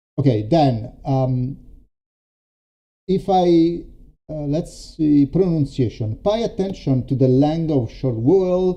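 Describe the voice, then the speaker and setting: A man speaks very slowly in an Italian accent, his pitch fairly high and his intonation lively. His tone is dark and mellow. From Italy. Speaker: storytelling coach. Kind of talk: live stream demo. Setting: live stream. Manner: halting, many fillers.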